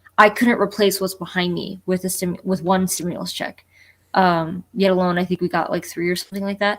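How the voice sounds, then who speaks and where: A woman with a slight New Jersey accent speaks at a fairly quick pace, her pitch medium and her intonation monotone and flat. The recording is very clean, with a silent background. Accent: slight New Jersey twang on one word only. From Florida (born New Jersey, moved at four). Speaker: collector panelist. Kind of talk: casual chat. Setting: live stream.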